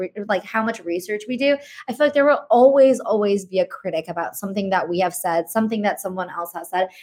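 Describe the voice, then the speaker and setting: A woman with an ordinary speaking voice talks at a fairly quick pace, her fairly high pitch carried by lively intonation. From Indian-American family. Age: 20s. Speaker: podcast co-host and content marketer. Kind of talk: casual interview chat.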